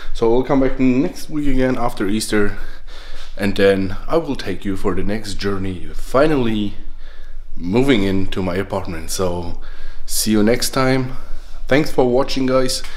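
The man's pitch varies in an ordinary way while he talks at a fairly slow pace. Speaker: vlogger moving apartments. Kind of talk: casual vlog chat. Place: home room. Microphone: phone near.

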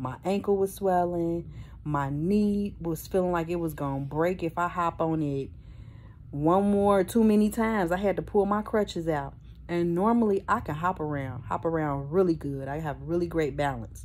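A woman's fairly low voice at a moderate pace, ordinary pitch variation, light background noise. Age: 50s. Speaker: vlogger with a prosthetic leg. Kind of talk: casual vlog talk to camera. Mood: earnest, animated storytelling. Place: home room. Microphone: phone near.

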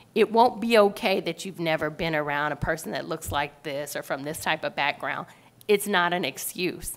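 Delivery comes at a moderate pace with lively intonation. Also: woman, fairly low pitch for a woman. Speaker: sales director; panelist. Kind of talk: panel discussion. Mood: earnest, encouraging advice. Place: hall. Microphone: podium.

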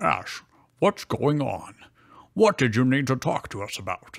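Doing a put-on character voice, a man speaks at a medium pitch and a moderate pace with very wide pitch swings. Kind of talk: comic fanfic reading. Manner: cool, low-voiced.

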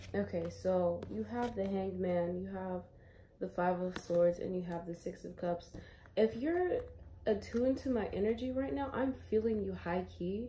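A woman at a moderate pace, with light background noise. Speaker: tarot reader. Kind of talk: casual tarot reading chat. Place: home room. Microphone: phone near.

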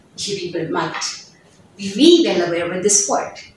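A woman speaks with a non-native accent and very wide pitch swings. Strong room echo surrounds her voice. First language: not English. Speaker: English teacher. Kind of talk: tutorial. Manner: halting. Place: classroom. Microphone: camera far.

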